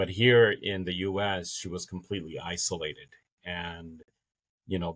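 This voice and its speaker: A man's very deep, low voice with a Spanish accent, monotone, flat intonation, and a moderate pace on a very clean recording with a silent background. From Dominican Republic, raised in New Orleans. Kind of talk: podcast interview, personal testimony.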